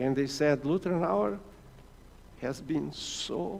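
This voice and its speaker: There is audible room echo as a man speaks with a Portuguese accent. His pitch swings very widely. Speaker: mission director. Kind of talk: church presentation.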